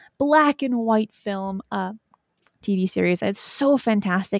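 A woman speaks in an unremarkable speaking voice at medium pitch with ordinary pitch variation. The sound is dry and close with no echo, recorded very cleanly against a silent background. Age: 20s. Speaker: YouTube host on paranormal topics. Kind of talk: casual chat.

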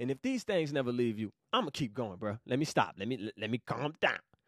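Very fast and animated, a man speaks in a dry, close sound with no echo. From US South, Savannah, Georgia. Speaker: podcast host, Bible teacher. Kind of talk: casual Bible study livestream. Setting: recording while live on Instagram.

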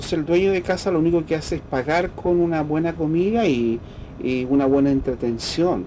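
Lively intonation marks this man's speech at a moderate pace. There is noticeable background noise. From Chile, rural Linares province. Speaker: folk musician and researcher. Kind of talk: radio interview. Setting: at his home.

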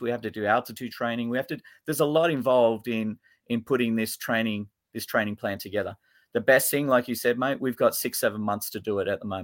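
On a very clean recording with a silent background, a man with an Australian accent talks at a very fast pace in a medium pitch with ordinary pitch variation. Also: dry, close sound with no echo. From Australia, Sydney. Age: 50s. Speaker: futsal coach. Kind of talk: interview.

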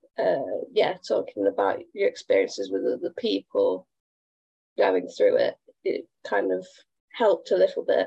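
At a fairly slow pace, a woman speaks in a dry, close sound with no echo.

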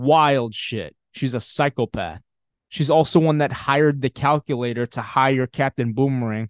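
A man's normal speaking voice at a moderate pace, with ordinary pitch variation, in a dry, close sound with no echo and a quiet background. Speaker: comic book podcast host. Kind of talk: casual solo podcast chat about comics. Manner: casual, profane, filler-heavy.

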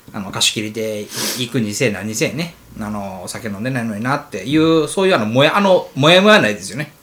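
A man talks very fast at a medium pitch, his voice making very wide pitch swings and big swings in loudness. Noticeable background noise runs underneath. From Wakayama, Japan (Tanabe). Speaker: podcast co-host, food club leader. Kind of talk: casual chat.

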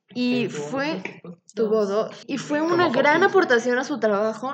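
A woman's fairly high, fairly slow voice with lively intonation, an ordinary speaking voice. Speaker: biotechnology student podcast co-host. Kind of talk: casual chat.

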